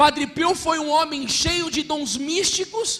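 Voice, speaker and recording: Over noticeable background noise, a man with a Brazilian accent sounds animated, with ordinary pitch variation. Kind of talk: sermon.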